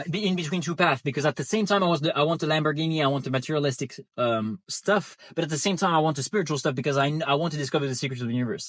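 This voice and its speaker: A man with a non-native accent, fairly high-pitched, talking very fast with ordinary pitch variation on a very clean recording with a silent background. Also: hardly any pauses. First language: not English. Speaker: online business coach. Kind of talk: casual monologue. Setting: in a car. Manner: halting, repeats words.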